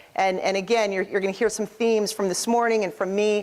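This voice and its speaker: Speaking very fast at a medium pitch, a woman talks with an American accent. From Nebraska (Lincoln). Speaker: keynote speaker, marketing agency professional. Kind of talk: keynote presentation. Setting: stage with audience, conference. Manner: frequent fillers and 'right?' tags.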